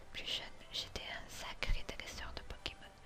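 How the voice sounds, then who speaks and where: A whispering voice in a relaxed tone is heard with noticeable noise in the background. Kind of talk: ASMR gaming let's play commentary. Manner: soft-spoken, relaxed.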